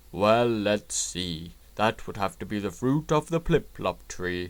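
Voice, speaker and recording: This is a man speaking in a put-on character voice. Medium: read story. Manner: playful, teasing.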